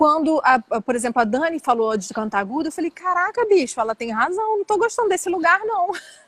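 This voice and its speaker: A woman's extremely high voice with very wide pitch swings, at a fairly quick pace with hardly any pauses, dry and close with no echo, over noticeable background noise. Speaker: flamenco singer. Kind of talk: interview. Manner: casual, conversational.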